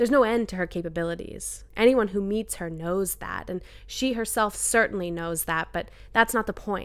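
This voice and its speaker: A woman at a moderate pace, in a Maritime Canadian accent. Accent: Canadian (Maritimes). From New Brunswick, Canada. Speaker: personal essayist. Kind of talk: reading aloud.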